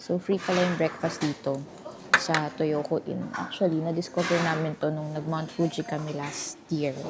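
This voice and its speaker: Against noticeable background noise, a woman with a very deep, low voice speaks at a moderate pace in a monotone, flat way. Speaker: travel vlogger. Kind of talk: travel vlog. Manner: soft-spoken.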